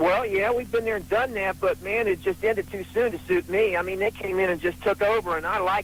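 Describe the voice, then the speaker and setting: A man with a high voice talks at a fairly quick pace with ordinary pitch variation over noticeable background noise. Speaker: radio call-in listener. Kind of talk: phone-in call. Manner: fast.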